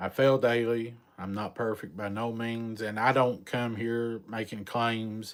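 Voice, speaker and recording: A man with a strong Southern US accent speaks at a fairly slow pace in a monotone, flat intonation. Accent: thick country Southern drawl. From Eastern Kentucky mountains. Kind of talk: casual live-stream chat.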